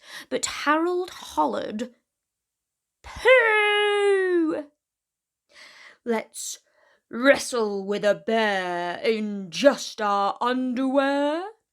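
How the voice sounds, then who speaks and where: A woman puts on a character voice at high pitch, raised and projected, with very wide pitch swings. She goes at a very slow pace with long, frequent pauses in a very clean recording with a silent background. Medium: read story. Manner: loud, hollering.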